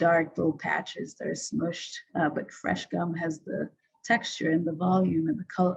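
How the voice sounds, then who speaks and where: A woman with a non-native accent, at a fairly slow pace. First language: not English. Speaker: designer presenting their work. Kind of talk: presentation. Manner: hesitant, many fillers. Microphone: video call.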